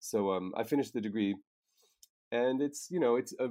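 Speaking in a Maritime Canadian accent, a man shows ordinary pitch variation. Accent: Canadian (Maritimes). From Nova Scotia, Canada. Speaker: storyboard artist. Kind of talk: interview.

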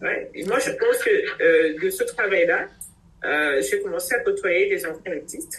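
This voice belongs to a woman. She speaks at a fairly slow pace. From Cameroon. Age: 50s. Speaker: doctor. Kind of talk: interview.

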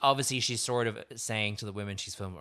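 In an Irish accent, a man with a fairly low pitch and a bright, sharp tone talks at a very fast pace with fairly even intonation, on a very clean recording with a silent background. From Ireland. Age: 30s. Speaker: podcast host. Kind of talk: casual chat. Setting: studio.

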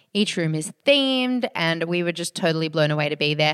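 A woman's fairly low voice with an Australian accent, very cleanly recorded against a silent background, dry and close with no echo. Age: 30s. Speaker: podcast co-host. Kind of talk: casual chat.

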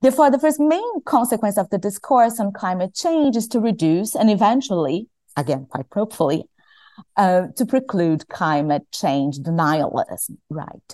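A woman with a Portuguese accent speaks at a moderate pace and medium pitch, her dark, mellow tone swinging very widely in pitch, in a dry, close recording with no echo and a quiet background. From Brazil. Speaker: climate lawyer. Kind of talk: academic panel discussion.

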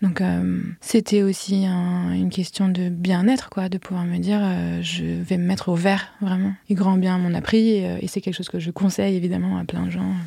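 On a very clean recording with a silent background, a woman speaks at a moderate pace with hardly any pauses. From Paris. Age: 30s. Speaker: flower farmer. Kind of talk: interview.

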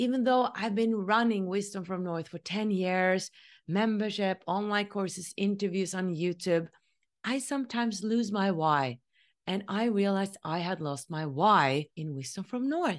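A woman with a Norwegian accent speaks at a moderate pace with lively intonation against a quiet background. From Norway. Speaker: spiritual podcast host. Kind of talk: solo monologue.

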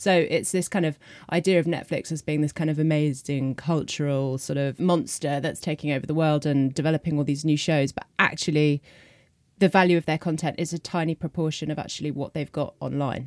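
A woman with a British accent and very deep, low pitch, fairly even intonation, dry, close sound with no echo, and a very clean recording against a silent background. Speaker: journalist. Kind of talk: panel discussion.

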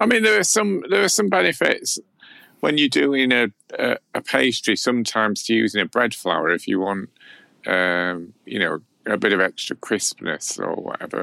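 Someone talks at a moderate pace in a strong South Yorkshire accent. The recording is very clean, with a silent background and a dry, close sound with no echo. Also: man. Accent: South Yorkshire, fairly strong. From South Yorkshire, England. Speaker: baker and cookbook author. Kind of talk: casual chat.

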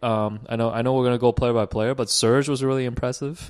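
Against a quiet background, a speaker uses an ordinary speaking voice at a fairly quick pace. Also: man. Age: 30s. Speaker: basketball podcast co-host. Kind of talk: casual chat. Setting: basement of a rental home.

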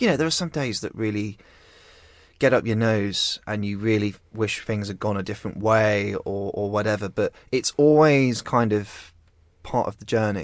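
A man's unremarkable speaking voice, fairly low in pitch, at a moderate pace with ordinary pitch variation, on a very clean recording with a silent background. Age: 20s. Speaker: magazine founder and editor. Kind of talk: interview.

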